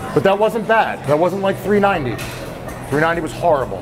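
The speech moves at a moderate pace with clear music in the background. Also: man. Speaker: coach. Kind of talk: casual coaching talk. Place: gym. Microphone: lapel.

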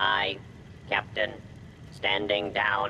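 A man in a put-on character voice, fairly low in pitch, over clear background noise. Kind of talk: game character dialogue. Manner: obedient, reluctant.

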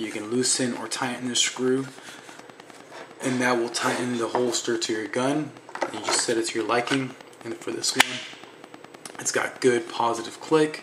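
A man's voice with fairly even intonation, long and frequent pauses, and loud background noise behind it. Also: moderate pace. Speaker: holster maker. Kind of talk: casual product demo talk to camera. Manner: hesitant, many fillers. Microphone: phone near.

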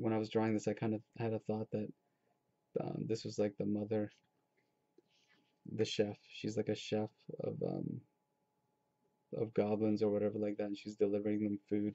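With long, frequent pauses, a man talks at a moderate pace in a fairly low, monotone, flat voice over a quiet background. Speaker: artist. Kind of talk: casual talk while drawing. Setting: home webcam recording. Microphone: webcam.

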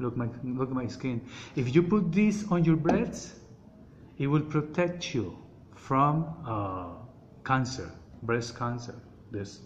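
A man with a Colombian accent at a very slow pace, with long, frequent pauses, medium pitch and very wide pitch swings, over light background noise. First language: Spanish. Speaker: oil seller giving health advice. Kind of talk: informal product explanation in a message. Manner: halting, hesitant, searching for words; repetitive, emphatic. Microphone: phone near.

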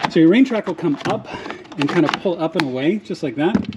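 A man's high-pitched voice over light background noise. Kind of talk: tutorial. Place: garage. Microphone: phone near.

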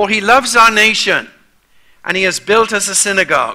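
A raised, projected voice with a bright, sharp tone at a moderate pace over a quiet background. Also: man. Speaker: preacher. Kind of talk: sermon. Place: church.

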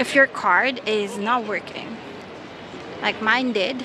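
A woman at a very slow pace with fairly even intonation, dry sound with no echo, and noticeable background noise. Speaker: traveler vlogger. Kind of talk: casual vlog tutorial. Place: station. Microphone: earbuds.

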